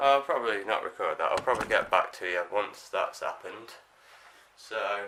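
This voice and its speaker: Keeping a moderate pace, a man talks with noticeable background noise in the recording. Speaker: vlogger. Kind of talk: casual chat.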